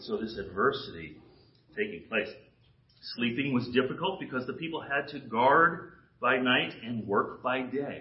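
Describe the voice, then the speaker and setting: The voice moves at a moderate pace with very wide pitch swings and big swings in loudness. Audible room echo surrounds it. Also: man, medium pitch for a man. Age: 60s. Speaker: guest preacher. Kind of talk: sermon. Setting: church with congregation. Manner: animated.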